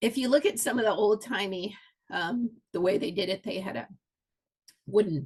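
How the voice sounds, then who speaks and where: Her voice is somewhat breathy and medium in pitch. The woman speaks at a moderate pace. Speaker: historical reenactment food presenter. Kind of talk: presentation. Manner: casual with many fillers.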